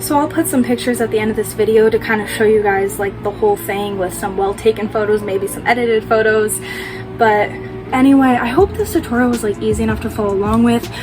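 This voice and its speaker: Music runs in the background. Over it, a woman speaks at a very fast pace. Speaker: makeup tutorial youtuber. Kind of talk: tutorial. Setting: at home at night.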